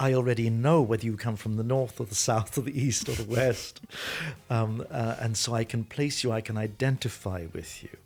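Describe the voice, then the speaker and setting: A man of medium pitch at a moderate pace, with music in the background. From Ireland. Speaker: Vatican expert and university teacher. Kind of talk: casual chat.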